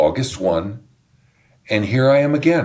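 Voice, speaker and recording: On a very clean recording with a silent background, a man at a medium pitch uses vocal fry and very wide pitch swings. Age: 70s. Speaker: pastor. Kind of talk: casual chat.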